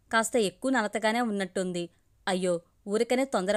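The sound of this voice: Pitch moves with ordinary variation. The delivery is an unforced reading voice.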